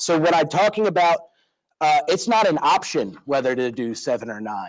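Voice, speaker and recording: A fairly high-pitched man with a Philadelphia accent at a moderate pace. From Philadelphia, US. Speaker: school board member. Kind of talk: public meeting remarks. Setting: board meeting room with microphone. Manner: halting.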